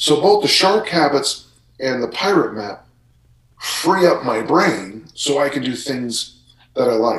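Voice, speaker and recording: A somewhat breathy man talks at a fairly high pitch, his voice making very wide pitch swings. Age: 60s. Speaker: strength coach. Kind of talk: casual chat.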